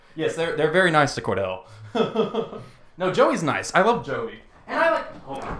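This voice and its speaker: A man talks at a moderate pace with long, frequent pauses, and the room echo is audible. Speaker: podcast co-host. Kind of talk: casual chat.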